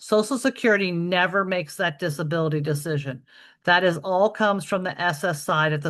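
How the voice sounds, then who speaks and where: Against a quiet background, a woman talks at a fairly quick pace. Her pitch is fairly low, with ordinary variation. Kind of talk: webinar presentation with Q&A. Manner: fast.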